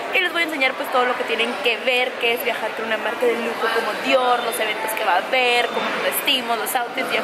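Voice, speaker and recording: Against loud background noise, a woman speaks at a fairly quick pace. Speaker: vlogger. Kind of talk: casual vlog chat. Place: station. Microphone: phone near.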